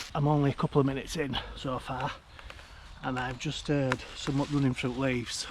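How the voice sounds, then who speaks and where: Noticeable background noise surrounds a man speaking at a moderate pace. His medium pitch stays monotone and flat. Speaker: outdoor vlogger. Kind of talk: casual vlog narration. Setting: outdoors in woodland at dusk. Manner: hesitant, halting; whispering.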